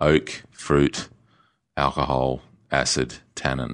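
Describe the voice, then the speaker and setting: A man with an Australian accent and flat, monotone intonation. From Australia (Perth). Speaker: winemaker. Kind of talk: interview conversation. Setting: studio.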